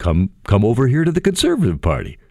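The recording is very clean and the background silent. A man talks at a fairly quick pace. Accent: Canadian. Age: 50s. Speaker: radio host. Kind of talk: talk radio monologue. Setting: studio. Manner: animated.

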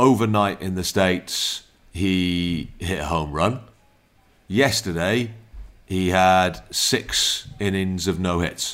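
In a South Wales accent, the speaker goes at a very slow pace with ordinary pitch variation and long, frequent pauses. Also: man. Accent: Welsh (South Wales). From Wales, Newport. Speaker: podcast host. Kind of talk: casual chat.

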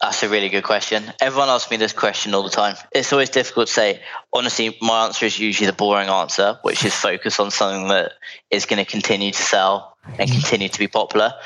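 Speaking at a very fast pace, a man with a London accent keeps a fairly low pitch and fairly even intonation. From London, England. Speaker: founder of a business brokerage firm. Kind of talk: interview. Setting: remote call.

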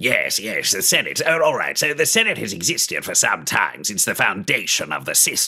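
A man's put-on character voice at a moderate pace, with hardly any pauses. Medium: actual play. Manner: hurried, anxious.

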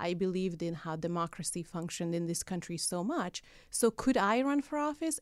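A woman talks at medium pitch and a moderate pace with lively intonation. The recording is very clean, with a silent background. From Hungary. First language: Hungarian. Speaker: political activist. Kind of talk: casual interview. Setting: studio.

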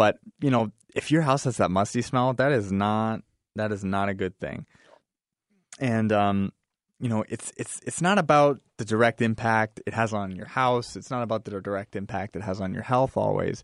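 Recorded dry and close with no echo against a quiet background, a man uses an ordinary speaking voice at a moderate pace, his fairly low pitch showing ordinary variation. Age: 20s. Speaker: basement waterproofing business owner. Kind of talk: radio interview.

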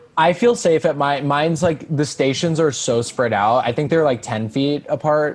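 The speaker has an American accent and lively intonation, with hardly any pauses. Noticeable background noise runs underneath. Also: man, fairly high pitch for a man, moderate pace. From US Northeast, Long Island. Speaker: comedian. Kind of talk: casual chat.

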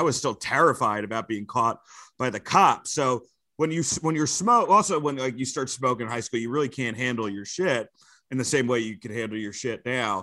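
Speaking in a New York accent, this man has a bright, sharp tone at a medium pitch. His intonation is lively, his pace fairly quick, and the background is quiet. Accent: New York area American. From New Jersey and Westchester, New York. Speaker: comedian and wrestling commentator. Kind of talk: casual chat.

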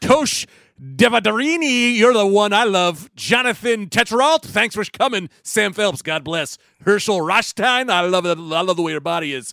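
A man with a high pitch and a bright, sharp tone uses a raised, projected voice at a moderate pace, with very wide pitch swings, in a very clean recording with a silent background. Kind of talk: casual chat.

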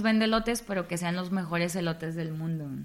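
A woman is speaking. She talks at a fairly quick pace. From Tamaulipas, northern Mexico. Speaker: radio announcer and comedian. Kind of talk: interview.

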